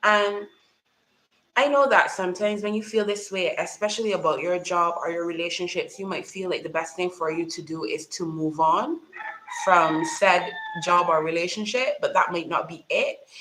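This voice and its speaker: Ordinary pitch variation marks a woman's medium-pitched voice as she talks at a moderate speed. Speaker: YouTuber, mental health talk host. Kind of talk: livestream talk to viewers. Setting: live stream at home.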